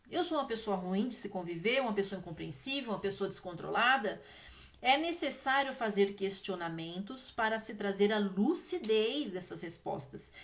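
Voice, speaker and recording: Spoken at a moderate pace with lively intonation, the voice carries some audible room echo. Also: woman, medium pitch for a woman. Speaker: spiritual healing teacher. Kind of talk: live stream Q&A talk. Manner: chatty, informal.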